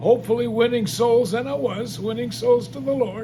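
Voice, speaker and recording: Speech at a moderate pace amid noticeable background noise and audible room echo. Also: man. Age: 80s+. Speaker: gospel singer and evangelist. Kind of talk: testimony. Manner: halting.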